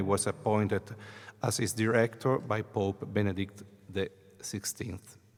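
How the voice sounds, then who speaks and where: A man with an Italian accent talks at a fairly slow pace in a fairly low pitch. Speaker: priest and choir director. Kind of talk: conference talk. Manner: halting.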